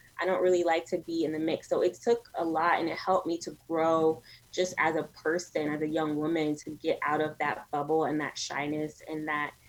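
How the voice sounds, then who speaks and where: This woman's voice is very deep and low, with monotone, flat intonation. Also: moderate pace, hardly any pauses. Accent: New York. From New York City, Brooklyn. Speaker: media entrepreneur. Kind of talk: interview conversation.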